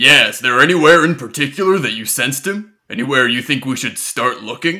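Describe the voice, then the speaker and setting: The speaker uses a put-on character voice. The recording is very clean, with a silent background. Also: man, fairly high pitch for a man, fairly quick pace. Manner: earnest, serious.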